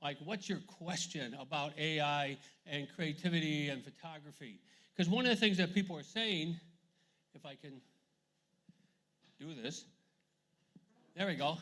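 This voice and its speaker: A man with an American accent has a bright, sharp tone and ordinary pitch variation. His loudness swings widely, and he takes long, frequent pauses. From USA. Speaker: photographer and arts administrator. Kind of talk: festival talk with audience Q&A. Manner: fast.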